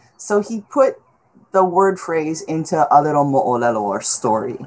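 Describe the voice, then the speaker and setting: Vocal fry runs through speech delivered at a moderate pace with very wide pitch swings. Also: woman. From Hawaii, Honolulu. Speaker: history professor. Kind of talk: presentation. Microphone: video call.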